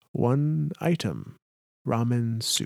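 A man puts on a croaky character voice at a medium pitch. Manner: stilted, halting speech.

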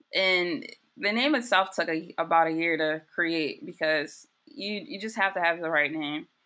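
With an American accent, a woman speaks in a plain, everyday voice at a fairly low pitch. Her intonation is lively and her pace moderate. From US, Baltimore. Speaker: graphic designer and footwear startup founder. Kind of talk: casual interview.

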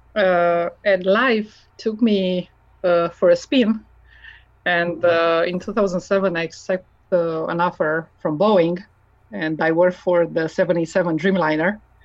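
A woman with a Romanian accent, fairly low in pitch, at a very slow pace with fairly even intonation. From Romania, Transylvania. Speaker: mechanical engineer. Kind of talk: interview.

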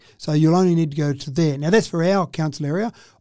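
Delivered at a very fast pace with an Australian accent, this very clean recording has a silent background. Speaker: mayor. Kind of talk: casual interview.

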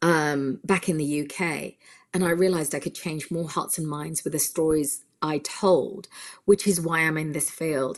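A woman with a British accent speaks in a very deep, low voice at a moderate pace with fairly even intonation, on a very clean recording with a silent background. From UK. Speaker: film director. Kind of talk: interview.

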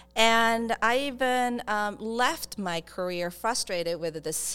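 A woman with a Japanese accent speaks with lively intonation on a very clean recording with a silent background. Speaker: startup accelerator founder. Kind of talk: interview. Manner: halting.

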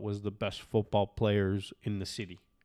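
A man with a Canadian accent is heard in a very clean recording with a silent background. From Canada. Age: 40s. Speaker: former football player. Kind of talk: casual chat. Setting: at home.

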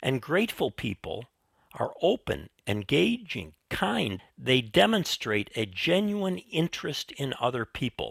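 In a very clean recording with a silent background and a dry, close sound with no echo, a man with an American accent speaks at a fairly slow pace in a medium-pitched voice with vocal fry and very wide pitch swings. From US Midwest. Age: 70s. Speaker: retired professor and teaching mentor. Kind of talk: interview conversation.

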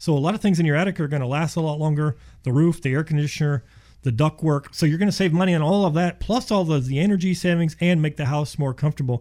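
In a very clean recording with a silent background, a man talks very fast with a fairly high pitch and a dark, mellow tone. His loudness stays very even, and his pitch varies in an ordinary way. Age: 50s. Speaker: insulation contractor. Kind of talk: casual radio interview.

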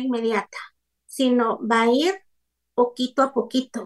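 Speaking at a fairly slow pace, a woman has a high pitch. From Guatemala. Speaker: psychologist. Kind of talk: radio interview.

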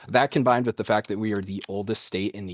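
At a very fast pace, a man speaks with a fairly low pitch and fairly even intonation. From Maine. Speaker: caller. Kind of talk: casual chat. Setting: phone call.

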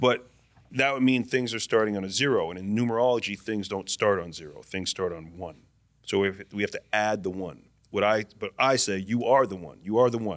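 A man's fairly low-pitched, an ordinary speaking voice at a fairly quick pace, with ordinary pitch variation and big swings in loudness. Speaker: guest. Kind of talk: casual chat.

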